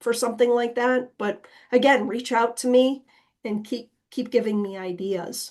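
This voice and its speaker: With a plain, everyday voice, a woman speaks at a moderate pace and with fairly even intonation. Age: 50s. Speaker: nonprofit director and planning presenter. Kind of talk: webinar Q&A. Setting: online webinar.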